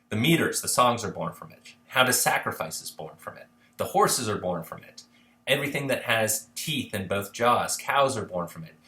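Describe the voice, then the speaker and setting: Medium in pitch, a man speaks with lively intonation. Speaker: history instructor. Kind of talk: lecture. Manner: fast; casual.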